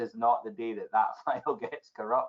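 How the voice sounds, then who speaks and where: A man talks with a Scottish accent. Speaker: technology evangelist. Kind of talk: podcast interview answer.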